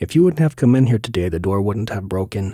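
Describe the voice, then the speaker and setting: This is a put-on character voice with lively intonation. It moves at a very fast pace. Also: man. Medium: read story.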